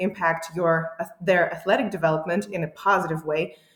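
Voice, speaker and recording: A woman with an ordinary speaking voice, fairly low in pitch. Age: 30s. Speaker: powerlifting coach. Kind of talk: interview.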